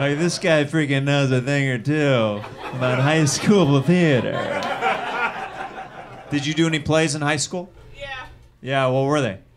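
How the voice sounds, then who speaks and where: Noticeable background noise sits under a man with an American accent who speaks at a fairly slow pace, with a fairly high pitch and ordinary pitch variation. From US Midwest. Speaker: comedian and show host. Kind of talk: improvised stand-up. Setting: stage with audience. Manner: animated. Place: stage. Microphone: handheld.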